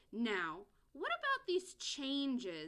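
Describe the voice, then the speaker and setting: A woman performs a put-on character voice. Her pitch is high and swings very widely. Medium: read story.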